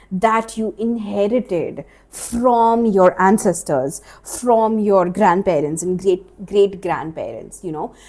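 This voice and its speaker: A woman's dark, mellow voice with an Indian accent, medium in pitch with ordinary variation, at a very slow pace. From India, Maharashtra. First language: Marathi. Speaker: life coach and podcast host. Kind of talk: solo podcast monologue. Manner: casual, conversational with fillers.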